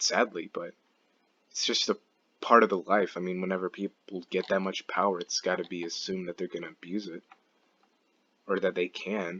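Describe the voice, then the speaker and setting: This man's voice is very deep and low, moving at a fairly quick pace with monotone, flat intonation. He leaves long, frequent pauses. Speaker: gaming commentary youtuber. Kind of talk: casual monologue. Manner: halting, stumbles over words.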